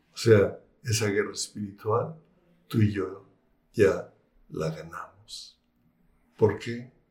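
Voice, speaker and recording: A man speaks at a very slow pace. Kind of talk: religious talk. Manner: hesitant fillers.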